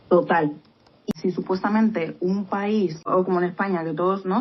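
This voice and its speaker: This woman's voice is medium in pitch. Her pitch varies in an ordinary way. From Spain. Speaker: podcast co-host. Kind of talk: casual chat.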